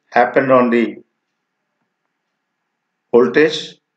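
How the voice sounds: Audible room echo surrounds speech with fairly even intonation. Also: man.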